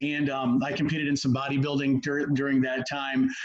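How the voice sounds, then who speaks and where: A man talking at a fairly quick pace amid audible room echo and noticeable background noise. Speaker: sports nutrition and performance coach. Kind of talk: presentation on a video call. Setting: video call. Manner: fast.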